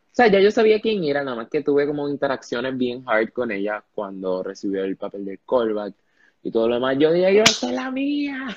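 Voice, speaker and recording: A man speaks in an animated tone at a moderate pace, with very wide pitch swings and big swings in loudness. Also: medium pitch for a man. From Panama. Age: young. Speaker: podcast host, student. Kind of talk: casual interview. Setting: live stream.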